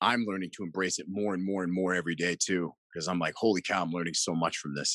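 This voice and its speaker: Talking at a very fast pace, a man uses a very deep, low pitch with fairly even intonation. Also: quiet background. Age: 40s. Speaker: mindset coach. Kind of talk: casual interview.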